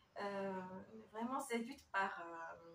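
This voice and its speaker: With a Korean accent, a woman talks very slowly in a fairly high pitch and lively intonation. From South Korea. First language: Korean (speaking French). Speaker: interviewee. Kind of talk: interview. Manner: halting.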